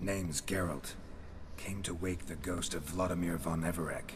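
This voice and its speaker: A man speaks at a moderate pace in a very deep, low put-on character voice. Loud background noise runs behind him. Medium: video game. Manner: terse, clipped sentences.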